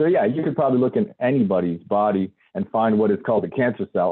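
A man in an unremarkable speaking voice, fairly quick, with lively intonation. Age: 30s. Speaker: independent health researcher and author. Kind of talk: interview.

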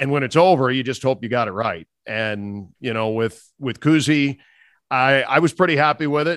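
A man in an unremarkable speaking voice, medium in pitch and moderate in pace, over a quiet background. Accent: American. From US Midwest, Minnesota. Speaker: radio play-by-play announcer. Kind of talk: interview chat.

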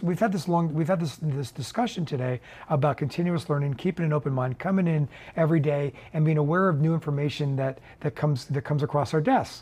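The delivery is very fast and somewhat breathy. Pitch varies in an ordinary way. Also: man, fairly high pitch for a man. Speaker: investor and fund portfolio manager. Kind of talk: interview. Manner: halting.

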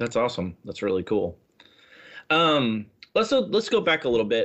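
With a normal speaking voice, a man talks at a medium pitch and a fairly quick pace, his intonation lively. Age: 40s. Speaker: podcast host. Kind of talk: casual chat.

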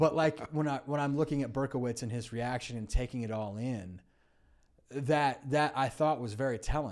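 A man with an American accent talks at a fairly quick pace in an unremarkable speaking voice, medium-pitched with ordinary pitch variation. The recording is very clean with a silent background. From California. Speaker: film critic. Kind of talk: casual chat. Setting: studio.

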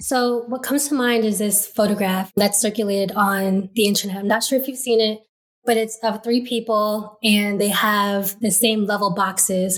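A woman's fairly high voice, an unremarkable speaking voice, at a moderate pace with fairly even intonation. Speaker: law student. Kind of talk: interview.

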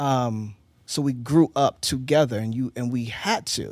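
The sound is dry and close with no echo as a man with an American accent speaks at medium pitch. He goes at a fairly slow pace with ordinary pitch variation. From Eastern Shore of Maryland. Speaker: husband in couple interview. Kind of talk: casual interview.

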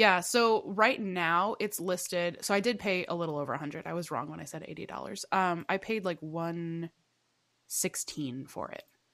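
Speaking at a moderate pace on a very clean recording with a silent background, a woman uses a fairly low pitch with ordinary variation, an animated tone and big swings in loudness. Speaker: podcast co-host. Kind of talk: casual chat.

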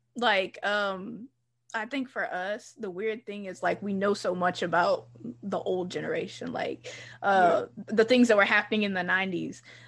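With an American accent and an ordinary speaking voice, a woman of medium pitch talks at a fairly slow pace with fairly even intonation against a quiet background. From US South, Charlotte area, North Carolina. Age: 20s. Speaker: podcast host. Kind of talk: casual chat.

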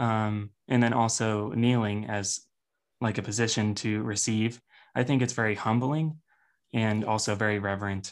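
A man with a plain, everyday voice talks at a moderate pace, his pitch fairly low for a man. His intonation stays fairly even on a very clean recording with a silent background. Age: 20s. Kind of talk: casual interview chat.

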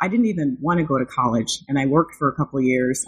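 Against a quiet background, a woman with an American accent speaks with lively intonation. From rural Illinois, US Midwest. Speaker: academic author, university administrator. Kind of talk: interview.

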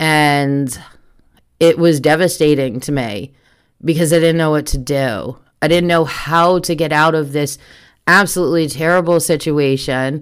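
A woman talks at a very deep, low pitch with fairly even intonation. Her moderate pace comes through on a very clean recording with a silent background. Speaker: podcast host, trafficking survivor. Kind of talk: casual solo monologue. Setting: at home computer microphone. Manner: loud.

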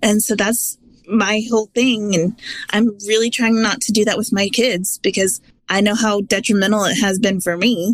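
A woman with a fairly high pitch speaks in a normal speaking voice at a moderate pace. Her intonation is fairly even and her loudness very even. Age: 30s. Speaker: weight-loss app member. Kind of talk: interview.

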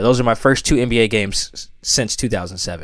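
Recorded very cleanly against a silent background, a man with an American accent uses a normal speaking voice, fairly even intonation and a fairly quick pace. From US Pacific Northwest, Seattle. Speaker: sports writer. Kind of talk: casual chat.

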